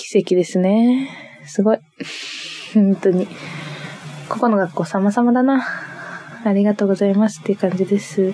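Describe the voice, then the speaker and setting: A woman speaks at a moderate pace and medium pitch with ordinary pitch variation, leaving long, frequent pauses over noticeable background noise. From Niigata, Japan. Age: 20s. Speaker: podcast co-host. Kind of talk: solo casual chat. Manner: giggly, frequent laughter.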